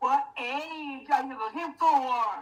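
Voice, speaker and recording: A woman puts on a high-pitched character voice. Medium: stage play.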